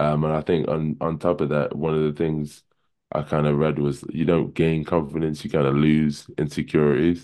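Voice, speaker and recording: The voice has a dark, mellow tone and moves at a moderate pace with monotone, flat intonation. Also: man, very deep, low pitch for a man. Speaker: basketball team captain. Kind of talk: casual chat.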